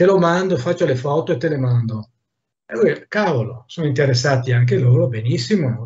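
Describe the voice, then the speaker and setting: At a fairly quick pace, a man speaks at a medium pitch in a somewhat breathy voice. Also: lively intonation. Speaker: artist, mask maker. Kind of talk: casual chat. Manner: animated.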